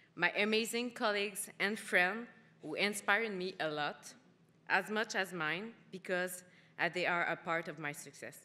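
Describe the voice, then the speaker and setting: A woman with a Quebec accent, bright and sharp in tone, medium in pitch, with ordinary pitch variation and a moderate pace. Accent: Québécois French. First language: French. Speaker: award winner, cosmetics manager. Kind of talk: acceptance speech.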